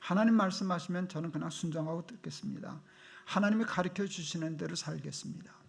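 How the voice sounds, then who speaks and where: A man with a North Korean accent talks at a fairly quick pace in a high voice, his intonation fairly even. The recording has audible room echo and noticeable background noise. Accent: North Korean intonation underlying his speech. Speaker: pastor. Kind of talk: sermon. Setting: church.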